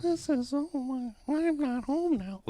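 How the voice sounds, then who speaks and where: The voice is a put-on character voice pitched high. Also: fairly slow pace. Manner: timid.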